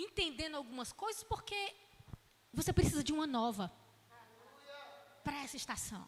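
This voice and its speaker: In a Ceará accent, a woman raises and projects her voice, her animated tone marked by very wide pitch swings. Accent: northeastern Brazilian (Ceará) Portuguese. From Ceará, northeastern Brazil. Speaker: itinerant preacher and Bible teacher. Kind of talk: sermon-style Bible class.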